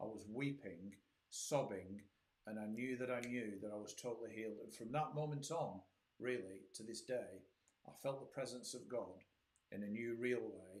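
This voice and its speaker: A man speaks at a moderate pace with a medium pitch and ordinary pitch variation. Audible room echo surrounds his voice. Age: 60s. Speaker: pastor. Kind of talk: testimony. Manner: animated.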